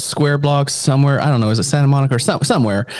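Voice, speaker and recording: A man talks in an animated tone that is somewhat breathy. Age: 40s. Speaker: podcast co-host. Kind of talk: casual chat.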